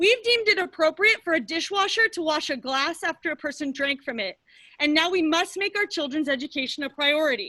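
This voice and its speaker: Raising and projecting her voice, a woman speaks at a fairly quick pace with lively intonation and a bright, sharp tone, in a dry, close sound with no echo over a quiet background. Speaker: parent giving public comment. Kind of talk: public comment at meeting. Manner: loud.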